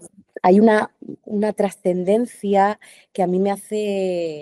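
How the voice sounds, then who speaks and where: A woman's dark, mellow tone at a very slow pace, with monotone, flat intonation, big swings in loudness, and a dry, close sound with no echo. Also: medium pitch for a woman. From Andalusia, Spain. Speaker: actress. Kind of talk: interview answer. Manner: hesitant, thoughtful.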